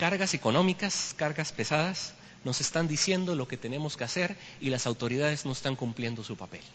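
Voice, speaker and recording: A man's fairly high voice at a fairly quick pace, with lively intonation. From Costa Rica. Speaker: history teacher, guest speaker at church. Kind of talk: church lecture. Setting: church.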